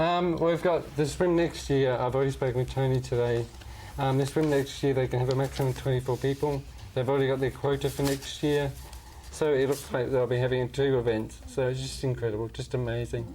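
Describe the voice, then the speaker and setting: A man talks at a fairly quick pace in a dark, mellow tone that is somewhat breathy. His medium-pitched voice keeps a fairly even intonation. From northern England, Barnsley. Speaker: charity fundraiser living with motor neurone disease. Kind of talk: TV interview. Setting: TV studio. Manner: halting.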